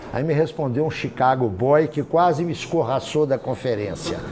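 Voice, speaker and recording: Audible room echo and noticeable background noise accompany a man speaking at a moderate pace. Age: 60s. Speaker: professor. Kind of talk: lecture. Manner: conversational, informal.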